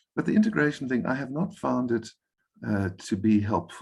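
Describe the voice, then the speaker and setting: A man with vocal fry, fairly quick in pace, against a quiet background. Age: 60s. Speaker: enneagram coach, guest speaker. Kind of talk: workshop Q&A answer. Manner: halting, with fillers and repeats.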